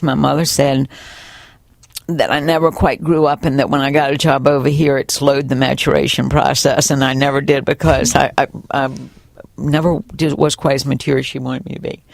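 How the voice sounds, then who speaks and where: A woman with a Virginia accent, very deep and low-pitched, at a fairly quick pace over noticeable background noise. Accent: Southern US (Virginia). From US South. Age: 60s. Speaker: college bookstore manager, former teacher. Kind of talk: oral history interview. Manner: animated.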